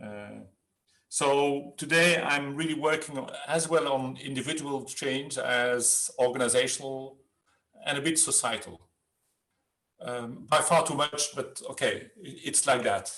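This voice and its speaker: The delivery comes at a fairly slow pace with ordinary pitch variation. Loudness rises and falls sharply. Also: man, fairly high pitch for a man. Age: 60s. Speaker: change management consultant. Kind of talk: webinar interview. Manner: halting.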